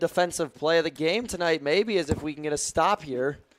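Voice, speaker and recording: A normal speaking voice moves at a moderate pace with lively intonation. The sound is dry and close, with no echo. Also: man. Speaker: play-by-play sports commentator. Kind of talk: live commentary.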